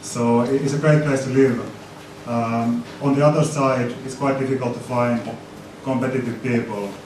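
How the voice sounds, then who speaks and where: Flat, monotone delivery in a Finnish accent at a moderate pace, with audible room echo and noticeable background noise. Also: man, medium pitch for a man. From Finland. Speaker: tech community organizer and business consultant. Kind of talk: conference presentation. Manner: halting, many repetitions and fillers.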